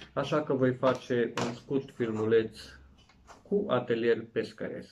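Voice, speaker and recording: A man speaks at a very slow pace with light background noise. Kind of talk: tutorial. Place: home room. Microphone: camera far.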